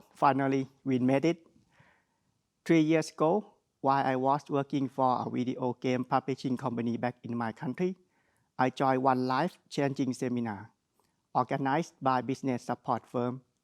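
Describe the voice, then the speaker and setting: With a strong Thai accent, the speaker keeps fairly even intonation at a moderate pace on a very clean recording with a silent background and a dry, close sound with no echo. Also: man, medium pitch for a man. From Thailand. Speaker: graduate student speaker. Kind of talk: ceremonial speech.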